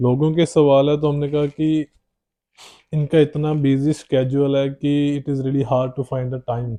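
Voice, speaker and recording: A man with a Punjabi accent speaks in a fairly high pitch, his intonation flat and monotone. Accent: Punjabi-accented Hindi. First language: Punjabi (speaking Hindi). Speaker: podcast host. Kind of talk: podcast interview.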